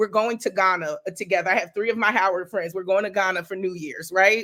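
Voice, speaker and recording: Speaking at a very fast pace, a woman uses an animated, bright, sharp tone at medium pitch. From New Jersey. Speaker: educator and professor. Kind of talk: casual interview chat.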